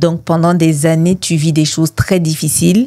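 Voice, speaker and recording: A woman's fairly low, fairly slow voice with ordinary pitch variation, dry and close with no echo, music in the background. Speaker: mental health advocate, founder of an organization. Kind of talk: testimony.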